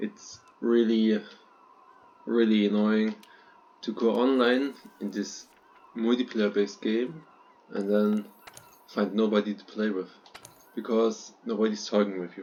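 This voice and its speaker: A man with a non-native accent and a fairly low pitch, monotone, flat intonation, big swings in loudness, and long, frequent pauses. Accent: non-native English speaker. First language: not English. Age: 20s. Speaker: gaming YouTuber. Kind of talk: unscripted gameplay commentary. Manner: halting, frequent fillers.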